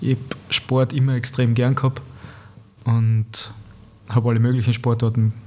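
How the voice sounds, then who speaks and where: A man speaks with a Tyrolean accent at a medium pitch. His pace is moderate and his intonation monotone and flat. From East Tyrol, Austria (Lienz area). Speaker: painter, former pro footballer. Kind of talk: casual interview chat. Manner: halting, many repetitions and fillers.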